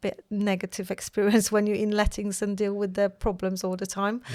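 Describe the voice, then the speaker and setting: A woman with a Polish accent in monotone, flat intonation, with a dry, close sound and no echo. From Poland. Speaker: mortgage broker, company founder. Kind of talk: casual chat.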